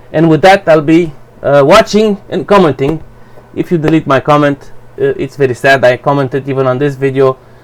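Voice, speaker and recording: A man with a Romanian accent talks at a fairly quick pace, with ordinary pitch variation. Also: fairly high pitch for a man. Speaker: YouTuber. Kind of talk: personal opinion rant to camera. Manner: halting, hesitant.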